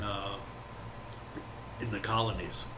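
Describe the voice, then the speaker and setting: A man speaks with a New York accent. Audible room echo and noticeable background noise surround him. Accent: New York City. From New York City, the Bronx. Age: 70s. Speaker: former volunteer firefighter and community historian. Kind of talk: oral history interview.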